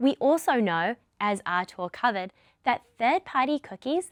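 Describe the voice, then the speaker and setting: A woman with a New Zealand accent at a moderate pace, lively in intonation, with a dry, close sound and no echo. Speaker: product lead presenter. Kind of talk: webinar presentation. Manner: scripted, clear.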